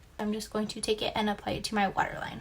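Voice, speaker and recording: A woman with an American accent and fairly high pitch, with music in the background. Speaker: beauty vlogger. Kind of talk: makeup tutorial.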